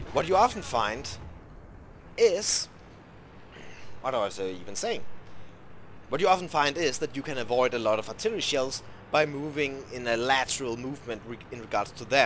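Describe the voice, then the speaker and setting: Lively intonation and big swings in loudness run through this man's speech. He keeps a moderate pace with long, frequent pauses. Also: medium pitch for a man. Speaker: gaming video creator. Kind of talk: gameplay commentary tutorial. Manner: halting.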